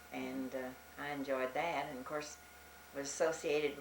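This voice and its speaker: With an American accent, a woman speaks at a moderate pace in a very deep, low pitch with fairly even intonation, amid audible room echo and noticeable background noise. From US South, Arkansas Ozarks. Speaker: elderly church member. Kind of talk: oral history interview.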